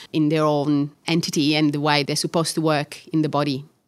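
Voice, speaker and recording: A woman with an Italian accent and a very deep, low pitch, on a very clean recording with a silent background. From Catania, Sicily, Italy. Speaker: orthopaedic surgeon and researcher. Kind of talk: interview conversation.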